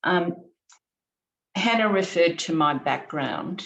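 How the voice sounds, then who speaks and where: A woman with ordinary pitch variation. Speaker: economics professor. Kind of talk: panel talk.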